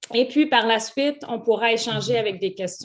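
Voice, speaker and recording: Speaking with a Canadian French accent, a woman uses a fairly high pitch with ordinary pitch variation. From Canada. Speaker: webinar host, business club co-founder. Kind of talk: online masterclass introduction. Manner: hesitant, many fillers.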